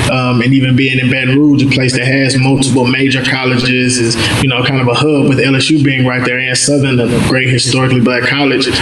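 A man talks at a fairly quick pace in a flat, monotone delivery with very even loudness. Noticeable background noise sits behind him. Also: medium pitch for a man. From North Louisiana, Mansfield. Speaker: nonprofit founder. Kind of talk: interview.

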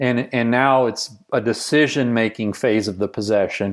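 This man has a Texan accent and a medium pitch. His intonation is fairly even, and the recording is very clean with a silent background. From rural Texas. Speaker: basketball coach and business founder. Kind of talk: casual interview conversation.

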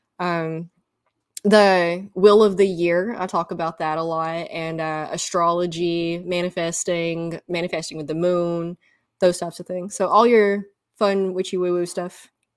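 In a very clean recording with a silent background, a woman with a Southern US accent talks at a fairly slow pace and fairly low pitch, her intonation monotone and flat but her loudness swinging widely. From US South. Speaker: podcaster and energy healing practitioner. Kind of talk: casual interview. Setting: podcast recording.

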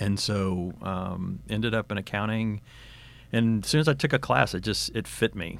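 A man with an American accent and a normal speaking voice, fairly low in pitch, at a moderate pace on a very clean recording with a silent background. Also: ordinary pitch variation. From Texas. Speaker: retired corporate finance executive. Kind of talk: interview.

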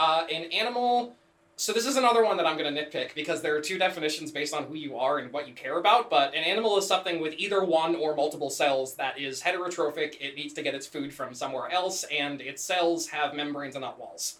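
A man's fairly high voice at a very fast pace with hardly any pauses, over noticeable background noise. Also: ordinary pitch variation. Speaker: podcast co-host. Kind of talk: casual chat. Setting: same room as co-host.

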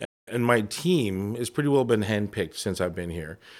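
A man with a Canadian accent speaks in an unremarkable speaking voice, fairly low in pitch, with lively intonation at a fairly quick pace. The recording is very clean, with a silent background. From Toronto, Canada. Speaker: insurance advisor. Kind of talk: interview.

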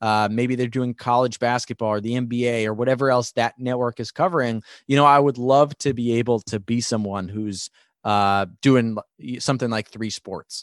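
In a plain, everyday voice with an American accent, a man talks at a moderate pace and medium pitch with fairly even intonation, in a dry, close sound with no echo over a quiet background. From New York. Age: 20s. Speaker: sports broadcaster. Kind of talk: interview.

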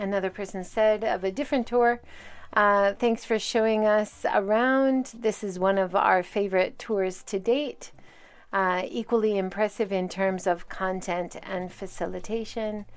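This woman's voice sits at a medium pitch. Her intonation is fairly even. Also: fairly slow pace. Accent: Hawaiian. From Hawaii. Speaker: podcast host and tour guide. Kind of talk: solo podcast monologue.

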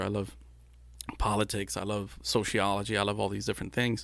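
In a very clean recording with a silent background, a man talks at a fairly quick pace with vocal fry. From Brownsville, Texas and Matamoros, Mexico. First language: Spanish. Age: 40s. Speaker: film and commercial producer. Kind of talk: casual interview chat. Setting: studio.

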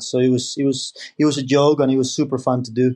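A man speaks with a Spanish accent at a moderate pace. His fairly high voice stays monotone and flat. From Spain. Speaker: professional golfer. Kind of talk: interview answers, casual chat.

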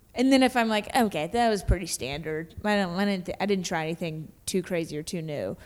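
A woman with an American accent and a plain, everyday voice speaks at a moderate pace and fairly low pitch with lively intonation, on a very clean recording with a silent background. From Kentucky, US South. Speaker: stand-up comedian. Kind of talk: casual chat.

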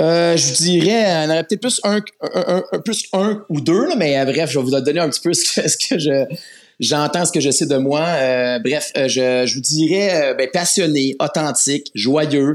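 This man's voice sits fairly high, and his pitch varies in an ordinary way. He talks at a fairly slow pace, keeping his loudness very even. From Quebec, Laval area. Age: 40s. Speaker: volunteer Bible narrator, project manager. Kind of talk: interview. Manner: halting, many fillers.

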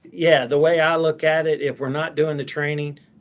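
Against noticeable background noise, a man with an American accent talks at a fairly quick pace. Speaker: company president. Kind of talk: interview conversation.

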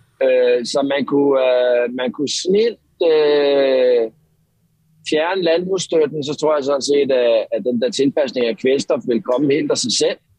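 A man speaks very slowly, his pitch varying in an ordinary way. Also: fairly high pitch for a man. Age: 30s. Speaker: marine biologist. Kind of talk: interview. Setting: phone call. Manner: halting.

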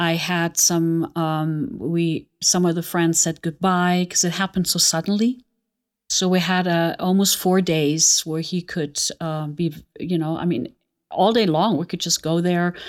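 A woman with a German accent and a fairly low pitch, at a fairly slow pace with fairly even intonation, on a very clean recording with a silent background. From Germany, Aachen. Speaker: botanical perfumer. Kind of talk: personal testimony interview.

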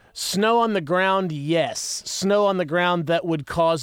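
A man with an American accent has a normal speaking voice. He talks at a moderate pace with ordinary pitch variation. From West Virginia. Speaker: musician and music producer. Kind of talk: casual chat.

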